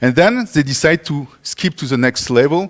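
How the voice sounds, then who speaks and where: Someone with a French accent speaks with very wide pitch swings, the sound dry and close with no echo. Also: man. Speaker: conference speaker. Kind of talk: conference talk.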